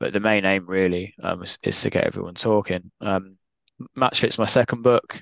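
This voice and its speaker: With a southern English accent, a man speaks at a fairly low pitch in a dry, close sound with no echo. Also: quiet background. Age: 20s. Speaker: author. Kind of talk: podcast interview.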